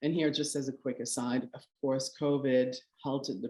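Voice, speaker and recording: In a very deep, low pitch, a woman talks with a dark, mellow tone and monotone, flat intonation. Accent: Quebec. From Canada, Quebec. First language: French. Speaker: curator. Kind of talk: lecture. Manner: halting.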